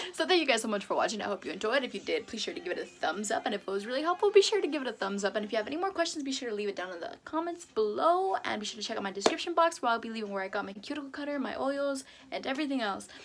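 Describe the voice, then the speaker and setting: With noticeable background noise behind her, a woman talks at a very fast pace in a high pitch with very wide pitch swings. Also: hardly any pauses. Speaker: beauty YouTuber. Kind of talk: tutorial. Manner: hesitant.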